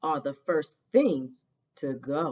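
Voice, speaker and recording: This is a put-on character voice. It growls throughout. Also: woman. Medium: read story. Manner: snarling, sneering.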